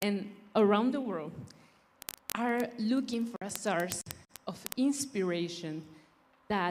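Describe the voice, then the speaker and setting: With a Spanish accent, a woman speaks at a very slow pace and medium pitch, her tone dark and mellow and her intonation lively. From Mexico. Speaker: beauty pageant contestant. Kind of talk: prepared speech.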